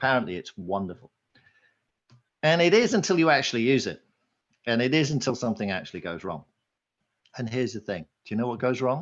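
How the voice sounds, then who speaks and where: Fairly quick pace from a man with a British accent, medium pitch and very wide pitch swings. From Britain. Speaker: conference speaker on marketing technology. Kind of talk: conference talk.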